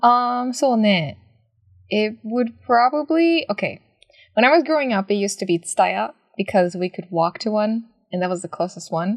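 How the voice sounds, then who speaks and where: A woman speaks at a moderate pace in a fairly high pitch, with a Japanese accent. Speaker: podcast co-host. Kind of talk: casual chat.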